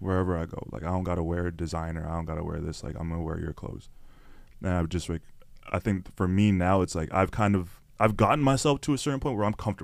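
A man with a very deep, low pitch speaks at a very fast pace, with ordinary pitch variation. The recording is very clean, with a silent background. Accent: Toronto. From Canada, Toronto (Scarborough). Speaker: content creator and podcaster. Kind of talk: casual interview chat. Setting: studio. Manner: animated.

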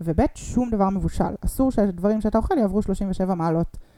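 A woman's dark, mellow tone carries ordinary pitch variation at a moderate pace. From Israel, Rehovot and Ness Ziona. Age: 30s. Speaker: combat navigator and triathlete. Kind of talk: podcast interview. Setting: host's living room.

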